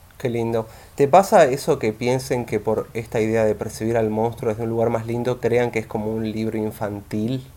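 Speaking in a Rioplatense accent, a man uses a dark, mellow tone at medium pitch, with fairly even intonation and a moderate pace. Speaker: podcast host. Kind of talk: casual interview chat.

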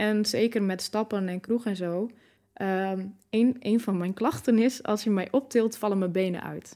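Speaking at a fairly slow pace, a woman has a medium-pitched, dark, mellow tone and fairly even intonation on a very clean recording with a silent background. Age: 20s. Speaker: person living with MS. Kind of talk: interview.

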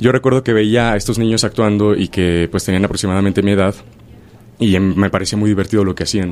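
A man speaks at a fairly low pitch. He has a normal speaking voice. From Mexico, Chilpancingo, Guerrero. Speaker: stage actor. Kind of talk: radio interview.

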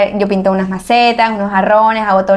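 Her pitch is fairly high and her intonation fairly even. This woman has an unremarkable speaking voice. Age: 20s. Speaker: architect and entrepreneur. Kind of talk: interview.

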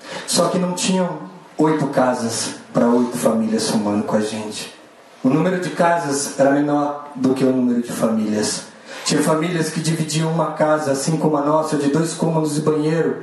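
A man's fairly high voice at a moderate pace, ordinary pitch variation, noticeable background noise and audible room echo. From São Paulo periphery. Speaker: social entrepreneur. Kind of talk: inspirational stage talk.

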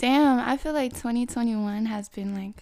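At a fairly slow pace, a woman with a dark, mellow tone speaks with ordinary pitch variation. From Canada. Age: 20s. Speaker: podcast guest, independent businesswoman. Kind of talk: casual chat.

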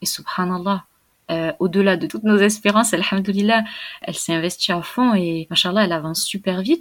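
On a very clean recording with a silent background, a woman with a plain, everyday voice talks at a fairly quick pace, medium in pitch with ordinary variation. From southern France, countryside. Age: 20s. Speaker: Quran learner, convert. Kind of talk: testimony.

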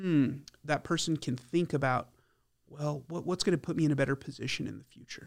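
A man with an American accent and an unremarkable speaking voice, fairly high in pitch, at a fairly quick pace with fairly even intonation, in a very clean recording with a silent background. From El Paso, Texas. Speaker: financial advisor. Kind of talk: interview.

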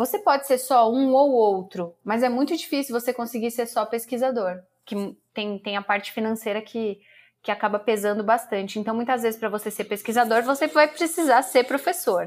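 A woman with a plain, everyday voice speaks fairly high with ordinary pitch variation on a very clean recording with a silent background. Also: moderate pace. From Brazil, São Paulo state interior. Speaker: public relations professional and academic. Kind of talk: interview.

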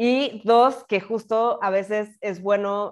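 A woman with a Mexican accent against a quiet background. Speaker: podcast host. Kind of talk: casual chat.

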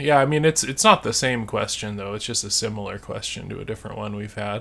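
With an American accent, a man speaks at a moderate pace in an unremarkable speaking voice. His intonation is lively. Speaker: podcast co-host, English practice chat. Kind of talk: casual chat, answering listener questions.

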